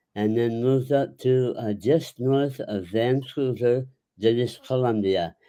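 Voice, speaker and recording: A very slow delivery with a dark, mellow tone and ordinary pitch variation. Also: man. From US Midwest, Chicago. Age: 80s+. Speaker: retired actor and author. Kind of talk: interview. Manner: halting.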